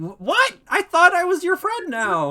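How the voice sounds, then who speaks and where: A put-on character voice, squeaky and extremely high, at a fairly slow pace. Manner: hurt, pleading.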